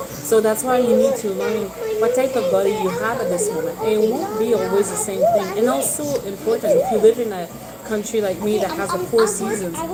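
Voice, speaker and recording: With crowd noise in the background and audible room echo, a woman talks at a fairly quick pace with ordinary pitch variation. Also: fairly high pitch for a woman. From Quebec. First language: French. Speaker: herbalist. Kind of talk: casual talk to camera. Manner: halting.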